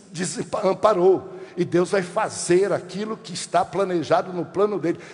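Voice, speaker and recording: Over noticeable background noise, a man speaks at a fairly slow pace in a high voice with fairly even intonation. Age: 60s. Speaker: pastor. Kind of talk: sermon.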